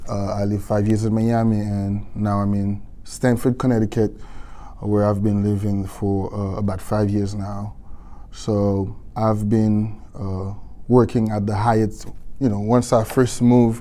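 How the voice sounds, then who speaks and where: A man's fairly low, dark, mellow voice with a non-native accent, monotone, flat intonation and a fairly slow pace, amid audible room echo. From Haiti. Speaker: hotel worker, union organizer. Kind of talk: panel talk.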